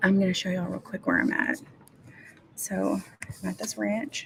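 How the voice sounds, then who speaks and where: A quiet woman's voice against noticeable background noise. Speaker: writing livestreamer. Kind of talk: casual livestream chat. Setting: room with other people, livestream. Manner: quiet, hushed.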